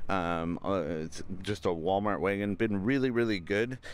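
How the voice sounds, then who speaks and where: A man speaks at a moderate pace in a dry sound with no echo. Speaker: RV owner reviewing his van. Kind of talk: casual vlog walkthrough tour. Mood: relaxed, upbeat. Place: open country. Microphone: phone near.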